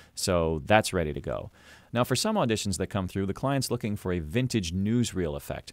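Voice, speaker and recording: On a very clean recording with a silent background, a man talks at a fairly quick pace with lively intonation. His is an unremarkable speaking voice with a fairly low pitch. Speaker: voice actor. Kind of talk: tutorial talk to camera. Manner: casual, conversational.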